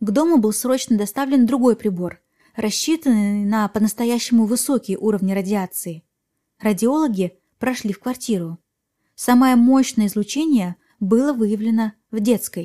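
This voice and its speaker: A woman with a fairly high pitch, a somewhat breathy, calm, dark and mellow tone, and ordinary pitch variation speaks at a moderate pace on a very clean recording with a silent background and a dry, close sound with no echo. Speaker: podcast host. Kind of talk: true-crime narration, scripted storytelling with eerie, suspenseful build-up. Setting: podcast recording. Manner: calm, clear scripted delivery that lingers on creepy details.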